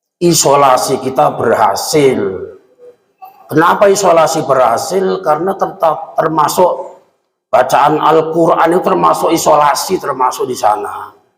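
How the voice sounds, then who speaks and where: A man with a fairly high voice, lively intonation and a fairly slow pace, plus audible room echo. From Central Java (Kendal, Kaliwungu). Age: 50s. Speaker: Islamic preacher. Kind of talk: sermon. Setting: mosque.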